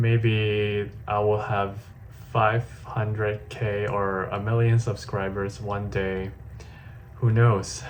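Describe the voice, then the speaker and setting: Through noticeable background noise and audible room echo, a man with a fairly low pitch and fairly even intonation speaks at a very slow pace with long, frequent pauses. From Hong Kong. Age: 20s. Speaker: vlogger. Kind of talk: personal video diary.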